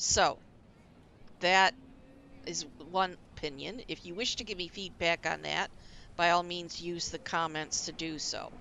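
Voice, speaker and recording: Vocal fry colors this woman's fairly low voice. She speaks at a fairly slow pace with fairly even intonation. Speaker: gaming video creator. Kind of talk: let's play commentary. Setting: recording over game audio. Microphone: new headset.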